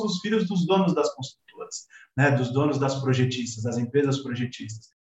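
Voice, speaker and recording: A man's pitch rises and falls very widely. He speaks fairly quickly. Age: 40s. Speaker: civil engineer. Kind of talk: casual interview.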